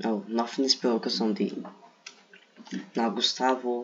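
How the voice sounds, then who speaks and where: A man with a Brazilian accent speaks at a very slow pace and medium pitch, his intonation fairly even, against noticeable background noise. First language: Portuguese. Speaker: gaming video creator. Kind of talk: casual commentary. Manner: halting.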